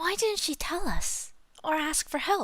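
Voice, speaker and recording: Squeaky and pitched extremely high, this put-on character voice moves at a fairly slow pace. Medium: virtual streamer.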